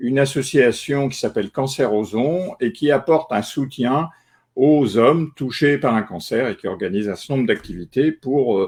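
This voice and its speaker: Moderate pace and lively intonation from a man at a medium pitch. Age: 60s. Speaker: retired journalist, cancer patient. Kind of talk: testimony. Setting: online live stream. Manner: halting, many filler euh.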